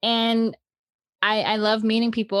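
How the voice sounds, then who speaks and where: The recording is very clean with a silent background. A woman speaks in a dry, close sound with no echo. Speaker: podcast co-host. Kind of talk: casual chat. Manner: loud.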